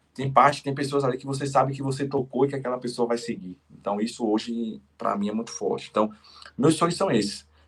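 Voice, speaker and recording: A somewhat breathy man talks at a fairly quick pace, his medium pitch showing ordinary variation. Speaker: entrepreneur and strawberry seller. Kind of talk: podcast interview. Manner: fast.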